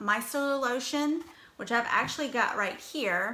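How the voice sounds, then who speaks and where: A woman speaks with a strong Virginia accent and lively intonation. Her tone is bright and sharp. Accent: Southern US (Virginia), strong. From US South, Danville, Virginia. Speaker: makeup brand ambassador, livestream host. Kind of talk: casual livestream tutorial. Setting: live video stream.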